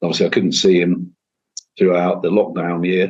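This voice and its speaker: This man speaks with a Manchester accent at a very fast pace. His pitch is very deep and low. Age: 50s. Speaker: singer-songwriter and guitarist. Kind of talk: interview conversation. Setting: home kitchen, remote call.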